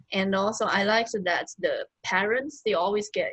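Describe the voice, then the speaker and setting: Somewhat breathy, a woman speaks with a Chinese accent. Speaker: teacher. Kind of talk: casual chat.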